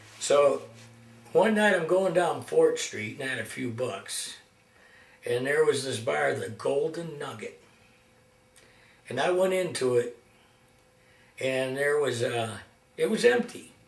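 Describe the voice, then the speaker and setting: Through audible room echo and noticeable background noise, a man talks fairly slowly, leaving long, frequent pauses. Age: 60s. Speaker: amateur guitarist and video maker. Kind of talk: casual storytelling monologue. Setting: at home, self-recorded. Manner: halting, many fillers.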